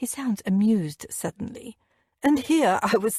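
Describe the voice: Plain reading aloud, the backdrop quiet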